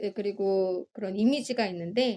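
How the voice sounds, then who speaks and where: A woman talks in a dark, mellow tone with lively intonation. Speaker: podcast co-host. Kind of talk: casual chat.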